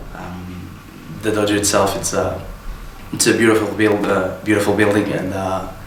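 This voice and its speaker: Against noticeable background noise and audible room echo, a man talks at a moderate pace in a monotone, flat intonation. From Portugal, Porto. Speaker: wrestling trainee. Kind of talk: interview. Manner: halting, many fillers.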